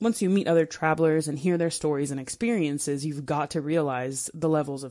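A woman with an American accent speaks at a fairly quick pace in a very deep, low voice, her pitch varying in an ordinary way against a quiet background. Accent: clear American. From United States. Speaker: travel blogger. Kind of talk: recorded contribution.

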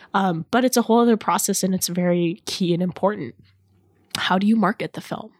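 Heard on a very clean recording with a silent background and a dry, close sound with no echo, a woman speaks in a medium pitch with ordinary pitch variation. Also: fairly quick pace. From Los Angeles, Iranian-American family. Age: 20s. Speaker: filmmaker. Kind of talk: interview. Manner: many fillers and restarts.

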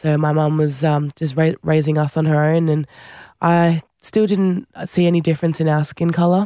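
This voice moves at a moderate pace with an Australian accent. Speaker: Olympic rugby sevens player. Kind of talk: interview.

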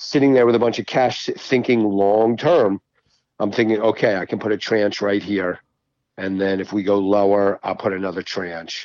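A man with a plain, everyday voice and an American accent speaks at a moderate pace, fairly low in pitch with ordinary variation, over a quiet background. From Baltimore, Maryland. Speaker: psychiatrist and trader. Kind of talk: casual chat.

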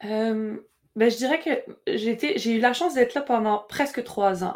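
A woman speaks at a very slow pace. Her high pitch makes very wide swings. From Quebec. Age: young. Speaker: opera singer, contralto and composer. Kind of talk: casual interview. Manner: halting.

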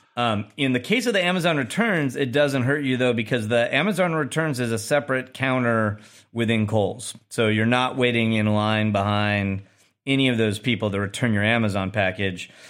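The loudness stays very even, at a moderate pace. Pitch varies in an ordinary way, and it is an ordinary speaking voice. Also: man, medium pitch for a man. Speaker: podcast host. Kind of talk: casual news discussion.

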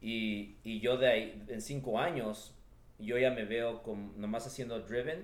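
At a fairly slow pace, a man of medium pitch speaks with ordinary pitch variation amid audible room echo. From Los Angeles (Echo Park), Mexican parents. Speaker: real estate entrepreneur. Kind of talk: interview. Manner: halting, with frequent word repetitions.

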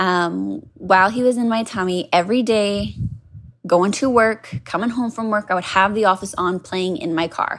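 An ordinary speaking voice from a woman at a medium pitch, with ordinary pitch variation and a moderate pace, on a very clean recording with a silent background. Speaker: caller, HR professional. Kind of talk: casual storytelling.

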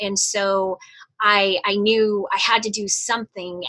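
A woman's medium-pitched voice with a bright, sharp tone, in a dry, close sound with no echo. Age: 50s. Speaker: flight attendant and business coach. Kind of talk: interview conversation.

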